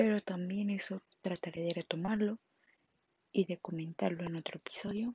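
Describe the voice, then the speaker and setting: A somewhat breathy woman's voice at a medium pitch, with fairly even intonation, a moderate pace and long, frequent pauses. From Mexico, Monterrey, Nuevo León. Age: 20s. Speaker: podcaster. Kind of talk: personal testimony monologue. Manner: halting.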